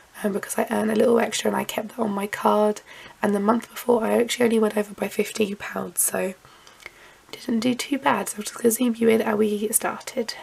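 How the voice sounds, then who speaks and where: Quiet and very fast, a woman talks in a flat monotone at a fairly high pitch over noticeable background noise. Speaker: lifestyle vlogger. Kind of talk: casual vlog talk to camera. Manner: hesitant with frequent um.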